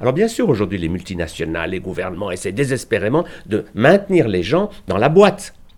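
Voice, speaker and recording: Moving at a fairly quick pace, a man's medium-pitched voice shows very wide pitch swings. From Switzerland, Geneva. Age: 70s. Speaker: physician and alternative medicine author. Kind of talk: interview.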